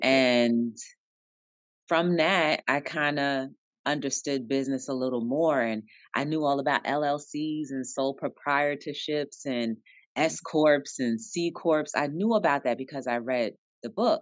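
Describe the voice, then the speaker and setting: A woman's very deep, low voice with an American accent, a fairly slow pace, ordinary pitch variation, and a dry sound with no echo over a quiet background. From New Jersey, Jersey City. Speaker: author and entrepreneur. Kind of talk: interview. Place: office. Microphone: video call.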